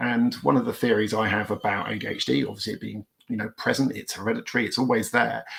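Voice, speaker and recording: A man with a British accent, talking at a fairly quick pace. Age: 40s. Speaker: police officer and ADHD charity trustee. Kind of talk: conference talk. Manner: hesitant, many fillers.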